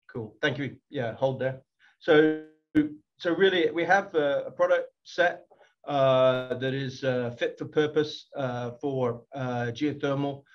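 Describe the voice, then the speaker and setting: A man with a British accent talks at a very slow pace. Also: fairly high pitch for a man, ordinary pitch variation. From UK. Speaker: company technology executive. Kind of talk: business presentation. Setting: video call. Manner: halting, many fillers.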